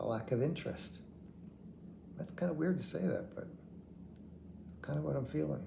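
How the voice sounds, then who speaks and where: A man's medium-pitched voice at a fairly quick pace, with very wide pitch swings, long, frequent pauses and audible room echo. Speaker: vlogger with terminal heart failure. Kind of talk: personal video diary. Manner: halting, word-finding pauses.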